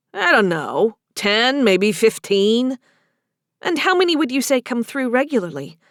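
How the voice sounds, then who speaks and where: A woman's put-on character voice: high-pitched, gruff, with very wide pitch swings and a fairly slow pace, dry and close with no echo. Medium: read story. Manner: gruff, blunt.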